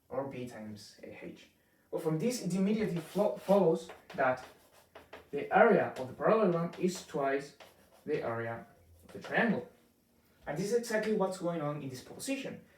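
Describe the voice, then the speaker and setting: The speaker goes at a fairly quick pace but leaves long, frequent pauses, with very wide pitch swings and big jumps in loudness. Audible echo fills the room. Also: man, high pitch for a man. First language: Spanish. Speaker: math teacher. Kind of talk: tutorial. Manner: halting, many fillers.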